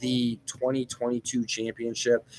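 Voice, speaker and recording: A normal speaking voice moves at a moderate pace with a dry, close sound and no echo. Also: man. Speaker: gaming channel host. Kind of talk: casual chat. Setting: in a store. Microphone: laptop.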